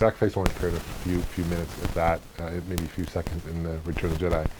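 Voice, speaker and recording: Against noticeable background noise, a man with a very deep, low pitch speaks at a very fast pace. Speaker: toy collector reviewer. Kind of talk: casual talk to camera.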